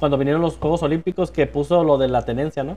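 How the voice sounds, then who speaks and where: A man's plain, everyday voice, fairly high in pitch, with fairly even intonation. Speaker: podcast co-host. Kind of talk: casual chat.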